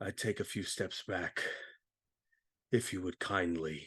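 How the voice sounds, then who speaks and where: In a put-on character voice, a man growls in a raspy, very deep, low pitch, fairly slowly and with fairly even intonation, the sound dry and close with no echo against a quiet background. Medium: actual play. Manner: calm, measured.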